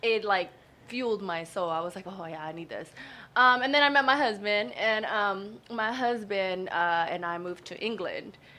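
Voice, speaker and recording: With an American accent, a woman talks in an ordinary speaking voice at a moderate pace and medium pitch, using lively intonation and big swings in loudness. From Houston, Texas. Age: 20s. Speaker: real estate businesswoman. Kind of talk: radio interview.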